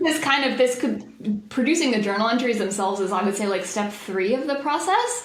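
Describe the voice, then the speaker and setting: With an American accent, a woman speaks at a fairly quick pace with lively intonation and hardly any pauses. Noticeable background noise runs underneath. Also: fairly high pitch for a woman. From Boston, USA. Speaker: accountant (CPA). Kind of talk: interview answer.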